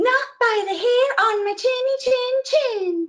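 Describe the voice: Squeaky and put-on, this character voice moves at a fairly slow pace. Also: woman, extremely high pitch for a woman.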